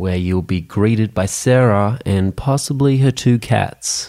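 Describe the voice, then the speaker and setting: A man's medium-pitched, dark, mellow voice in an Australian accent, fairly slow, with ordinary pitch variation, on a very clean recording with a silent background. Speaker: podcast host. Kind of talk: scripted narration.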